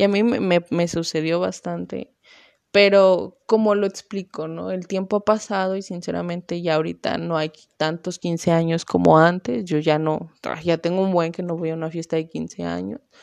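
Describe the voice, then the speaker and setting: The speaker has a western Mexican accent and an animated tone at a moderate pace. The background is quiet. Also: woman, fairly low pitch for a woman. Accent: Mexican Spanish (western Mexico). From Mexico, small town in Jalisco area. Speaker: podcast host, university student. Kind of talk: casual monologue. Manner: animated, laughing often.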